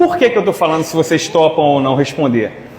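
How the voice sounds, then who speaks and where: Noticeable background noise and audible room echo around a man's fairly high-pitched voice. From Rio de Janeiro, Brazil (Irajá). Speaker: spiritist lecturer. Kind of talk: lecture. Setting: hall with live audience. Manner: loud; animated.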